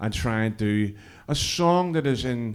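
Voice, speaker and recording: This is a man speaking with a Belfast accent. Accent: Belfast Northern Irish. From Northern Ireland, East Belfast. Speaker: cross community worker and musician. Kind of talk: stage introduction with banter. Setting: stage with audience at interfaith event. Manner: casual, halting with fillers.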